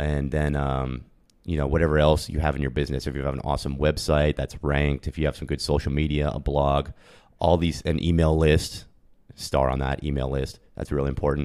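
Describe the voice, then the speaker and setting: The speaker has an American accent. The intonation stays monotone and flat. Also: man, very deep, low pitch for a man. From US Northeast (Pennsylvania). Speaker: e-commerce entrepreneur. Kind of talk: interview. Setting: in person. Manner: fast.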